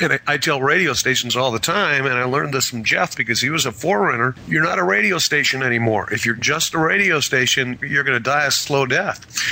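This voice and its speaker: In an American accent, a man at medium pitch speaks very fast with hardly any pauses and lively intonation. His loudness holds very even against noticeable background noise. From Wisconsin, US Midwest. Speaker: media and marketing consultant. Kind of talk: interview.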